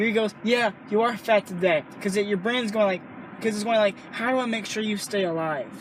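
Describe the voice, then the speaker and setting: Over noticeable background noise, a man talks loudly at a fairly quick pace in a high pitch. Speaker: stand-up comedian. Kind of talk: casual chat. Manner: animated.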